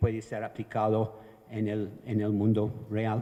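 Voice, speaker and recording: A man with a Venezuelan accent speaks in a medium pitch with a dark, mellow tone. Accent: Venezuelan-tinged Spanish. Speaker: evaluation expert, panelist. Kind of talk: conference talk.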